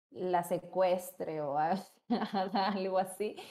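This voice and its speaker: Her tone dark and mellow, a woman speaks at medium pitch with fairly even intonation. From Peru. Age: 20s. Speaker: psychologist. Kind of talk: casual chat.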